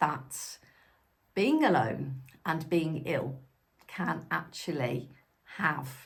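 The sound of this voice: Slowly and with vocal fry, a woman speaks with lively intonation.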